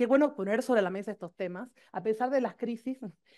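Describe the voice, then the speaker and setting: The voice has a dark, mellow tone and ordinary pitch variation at a fairly quick pace. The background is quiet. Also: woman. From Argentina. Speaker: professor. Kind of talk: conference talk. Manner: fast.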